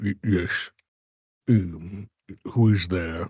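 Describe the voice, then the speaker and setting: A gruff, put-on character voice with fairly even intonation comes through in a dry, close sound with no echo. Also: man, very deep, low pitch for a man. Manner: hesitant, wary.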